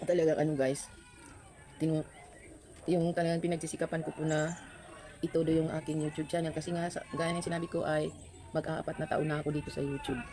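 A woman's very deep, low voice at a very fast pace, monotone and flat, with long, frequent pauses and noticeable background noise. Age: old. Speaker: food vlogger. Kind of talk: mukbang vlog. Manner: eating while talking.

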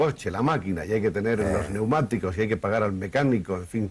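A man talks at a fairly quick pace in a normal speaking voice. His pitch is fairly low with ordinary pitch variation. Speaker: TV interviewer. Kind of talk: TV interview questions.

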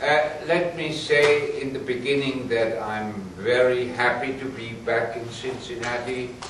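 Amid noticeable background noise and audible room echo, a man speaks at a very slow pace with ordinary pitch variation. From Swabia, southern Germany. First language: German. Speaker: paleontologist. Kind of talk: academic lecture. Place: classroom. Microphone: camera far.

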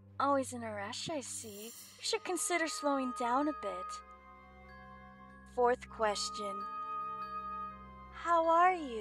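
A woman in a put-on character voice speaks at a high pitch with a fairly bright tone and lively intonation, moving at a slow pace with long, frequent pauses over faint music in the background.

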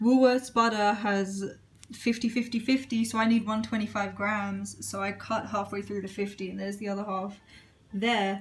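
Her voice is somewhat breathy, and her intonation is monotone and flat. The woman speaks at a moderate pace. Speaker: home cook vlogger. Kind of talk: casual vlog chat. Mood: cheerful, relaxed. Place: kitchen. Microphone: phone near.

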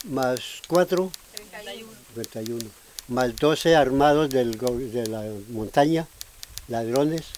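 Speaking at a very slow pace with long, frequent pauses, a man at medium pitch uses ordinary pitch variation and big swings in loudness over noticeable background noise. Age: 80s+. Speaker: displaced farmer. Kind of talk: interview answer.

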